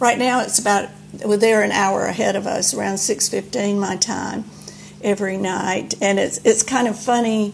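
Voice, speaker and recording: Over noticeable background noise, a woman with a Southern US accent talks at a moderate pace in a medium pitch with fairly even intonation. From Alabama, US South. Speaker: church member, retired teacher. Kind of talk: casual chat. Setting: remote call. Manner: halting.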